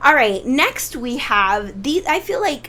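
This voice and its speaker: Speaking at a fairly slow pace, a woman with a high voice lets her pitch swing very widely. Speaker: tarot reader. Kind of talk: tarot reading. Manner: animated.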